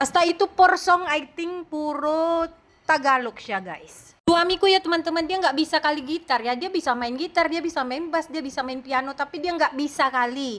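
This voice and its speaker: At a moderate pace with hardly any pauses, a woman speaks in a high pitch with ordinary pitch variation on a very clean recording with a silent background. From Indonesia. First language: Indonesian (speaking Tagalog). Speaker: vlogger. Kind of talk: casual vlog chat. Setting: at home.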